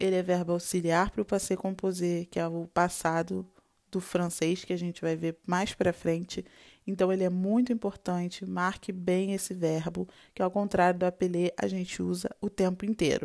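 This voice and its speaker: Recorded very cleanly against a silent background, a woman speaks at a moderate pace. Her fairly low voice stays monotone and flat. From Brazil, Rio de Janeiro. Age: 20s. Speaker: language teacher. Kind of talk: tutorial.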